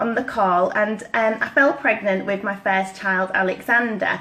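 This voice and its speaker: A woman with a Yorkshire accent talks over noticeable background noise. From East Yorkshire, northern England. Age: 30s. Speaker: network marketing consultant. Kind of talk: personal story talk.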